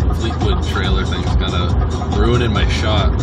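Loud music plays in the background of this fairly slow delivery. The sound is dry, with no echo. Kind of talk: casual vlog chat. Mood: playful, sarcastic. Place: car. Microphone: phone near.

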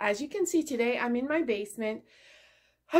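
A woman's high-pitched voice with very wide pitch swings. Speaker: craft vlogger. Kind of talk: casual vlog chat. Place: home room. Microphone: phone near.

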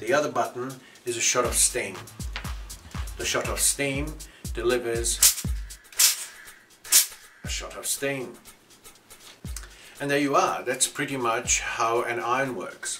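A man speaks at a fairly slow pace, with long, frequent pauses. Clear music plays in the background. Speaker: ironing service instructor. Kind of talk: tutorial. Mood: cheerful, lightly joking. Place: workshop.

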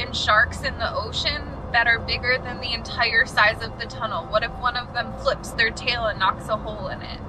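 A woman talks at a moderate pace with hardly any pauses over noticeable background noise. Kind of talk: casual vlog chat. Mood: anxious, scared, half joking. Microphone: camera far.

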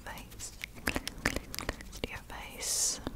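A woman whispering. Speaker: ASMR creator. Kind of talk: soft ASMR whisper chat. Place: home room. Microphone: studio mic.

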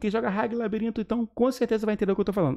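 A man with an animated tone against a quiet background. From Brazil. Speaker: gaming YouTuber. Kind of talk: gaming news video. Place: home room.

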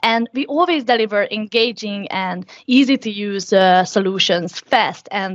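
A woman talks with ordinary pitch variation over a quiet background. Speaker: conference presenter. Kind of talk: conference presentation.

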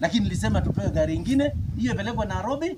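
Over loud background noise, a man races along at a very fast pace. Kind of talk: public address answering residents. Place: open country.

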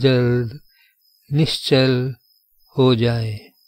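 A man speaks with a calm, soothing tone at a medium pitch. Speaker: yoga nidra guide. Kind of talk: guided meditation. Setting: recorded audio guide for lying-down relaxation. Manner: slow, calm, soothing, with long pauses; soft-spoken, gentle, instructional.

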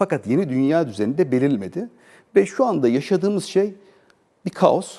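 Very wide pitch swings mark this dark, mellow voice, which moves at a moderate pace. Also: man. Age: 40s. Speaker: business association president, exporter. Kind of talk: TV interview.

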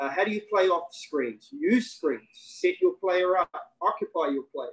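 A man with a New Zealand accent against a quiet background. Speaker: basketball coach and former pro player; basketball coach. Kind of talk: webinar interview. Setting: video call. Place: home room. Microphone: video call.

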